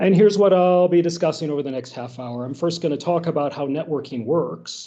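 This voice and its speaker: This man has a plain, everyday voice with a fairly high pitch. He talks at a moderate pace. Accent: American. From United States. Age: 50s. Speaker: philosophy professor. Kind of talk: workshop lecture.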